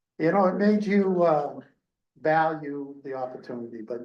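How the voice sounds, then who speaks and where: Audible room echo surrounds speech at a moderate pace with ordinary pitch variation. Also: man. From Maine (Bangor). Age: 70s. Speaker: hiring consultant, retired city manager. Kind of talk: public meeting talk. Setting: public meeting. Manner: halting, many fillers.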